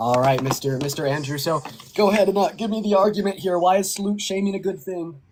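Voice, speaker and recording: Amid noticeable background noise, a high-pitched man talks at a very fast pace with ordinary pitch variation. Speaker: online debater. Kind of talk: heated debate. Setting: live video stream call. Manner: quiet.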